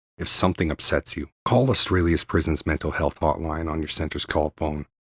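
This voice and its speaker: Speaking at a very fast pace, a man with a very deep, low voice keeps a fairly even intonation on a very clean recording with a silent background. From Canada, Vancouver area, British Columbia. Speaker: radio host, rapper and former prisoner. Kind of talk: radio show monologue. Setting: home bedroom studio. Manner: casual, with fillers.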